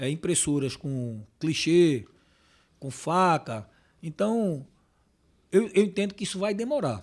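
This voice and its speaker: On a very clean recording with a silent background, a man with a high pitch swings his pitch very widely. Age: 60s. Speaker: packaging sales manager. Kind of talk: podcast interview. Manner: halting.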